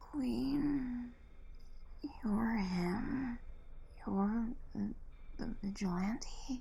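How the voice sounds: A put-on character voice with a dark, mellow tone and vocal fry. It moves at a very slow pace, with ordinary pitch variation. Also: woman, fairly high pitch for a woman.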